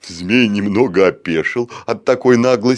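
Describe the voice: This is plain reading aloud, and its pitch shifts in an ordinary way.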